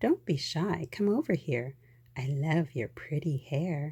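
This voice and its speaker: A put-on character voice at a middle pitch delivers the lines at a fairly slow pace. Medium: read story.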